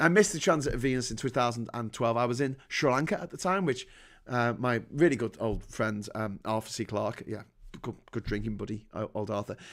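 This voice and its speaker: A man talks at a fairly quick pace in an animated tone, his medium pitch varying in an ordinary way. The recording is very clean, with a silent background. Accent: northern English. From northern England. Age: 40s. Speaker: livestream host. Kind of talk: casual chat. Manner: halting.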